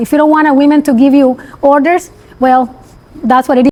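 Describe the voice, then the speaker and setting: Noticeable background noise sits behind a woman speaking fairly quickly at a high pitch in an animated tone. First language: Spanish. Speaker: construction company CEO. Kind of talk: interview.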